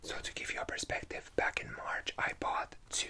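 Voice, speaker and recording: A man whispering amid noticeable background noise. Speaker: YouTuber / ASMR creator. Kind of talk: ranting storytime to camera. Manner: angry, sweary, exasperated.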